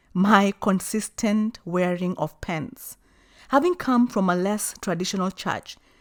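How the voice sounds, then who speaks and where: A woman of medium pitch speaks at a moderate pace with ordinary pitch variation, in a very clean recording with a silent background and a dry, close sound with no echo. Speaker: life coach vlogger. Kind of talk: personal reflection monologue. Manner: vocal, not soft-spoken; assertive, confident.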